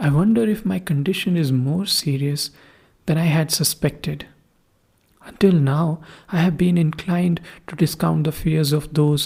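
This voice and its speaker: Somewhat breathy speech at a moderate pace, with ordinary pitch variation and long, frequent pauses. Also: woman. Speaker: podcast host. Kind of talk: first-person horror story reading.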